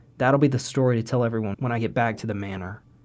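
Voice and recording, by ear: The clip is reading aloud in a natural voice.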